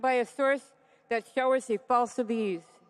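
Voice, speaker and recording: Her pitch high, a woman talks at a moderate pace. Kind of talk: ceremonial address. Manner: formal.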